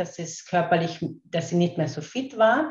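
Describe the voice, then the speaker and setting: Her voice is dark, mellow and somewhat breathy, set at a fairly low pitch for a woman. The intonation is lively. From Austria, Carinthia. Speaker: kinesiologist and laughter coach. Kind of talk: interview. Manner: hesitant, many fillers and repetitions.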